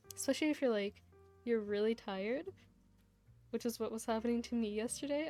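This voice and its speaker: With music in the background, a woman with a fairly high voice talks at a fairly quick pace, using ordinary pitch variation and long, frequent pauses. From Hungarian family background. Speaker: VTuber streamer. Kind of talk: casual live stream chat. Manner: hesitant with fillers and restarts.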